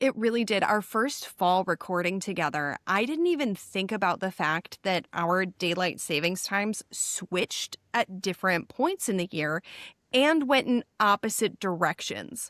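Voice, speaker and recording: A woman with a Midwestern American accent, medium pitch, lively intonation and a fairly slow pace, dry and close with no echo, on a very clean recording with a silent background. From Chicago area, US Midwest. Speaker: podcast co-host. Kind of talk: casual chat.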